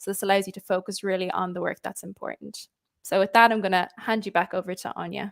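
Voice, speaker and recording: Spoken very fast with an Irish accent, the flat, monotone delivery has a dry, close sound with no echo. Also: woman. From Ireland. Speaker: customer success executive. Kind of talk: webinar presentation. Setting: live online webinar.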